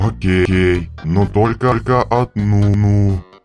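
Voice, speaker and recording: Putting on a character voice, a man speaks very slowly at a fairly low pitch while faint music plays in the background. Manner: deadpan, reluctant.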